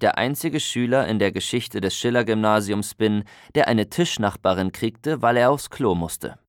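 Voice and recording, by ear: The voice is reading aloud in a natural voice, its pitch varying in an ordinary way.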